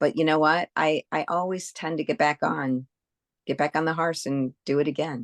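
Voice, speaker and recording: A woman with a very deep, low pitch speaks at a moderate pace with fairly even intonation, the sound dry and close with no echo against a quiet background. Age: 60s. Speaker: health coaching client. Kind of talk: interview testimony. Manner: halting.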